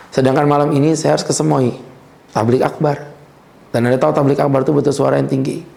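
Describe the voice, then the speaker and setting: A man's fairly high voice at a very fast pace, with ordinary pitch variation and audible room echo. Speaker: Islamic preacher. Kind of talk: religious lecture. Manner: casual, conversational.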